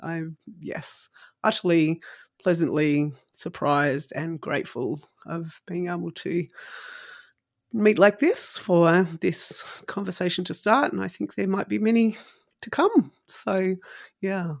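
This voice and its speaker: In an Australian accent, a woman with a fairly low, warm voice and lively intonation speaks at a fairly slow pace, leaving long, frequent pauses. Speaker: podcast host. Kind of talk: interview conversation. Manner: laughs often, warm.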